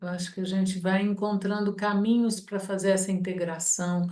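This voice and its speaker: Her voice is medium in pitch with a dark, mellow tone, and this woman speaks in a monotone, flat intonation. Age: 60s. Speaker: study group participant. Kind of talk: group discussion.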